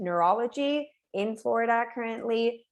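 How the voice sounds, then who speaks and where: The voice has an ordinary range of pitch variation. It speaks with a Spanish accent. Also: woman. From Puerto Rico. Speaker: neuroscience professor. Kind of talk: webinar talk.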